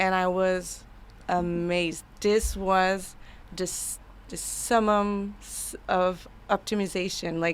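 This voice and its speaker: This woman speaks with a Quebec accent. Her pace is very slow. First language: French. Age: 30s. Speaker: AI consultant. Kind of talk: casual interview chat. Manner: halting.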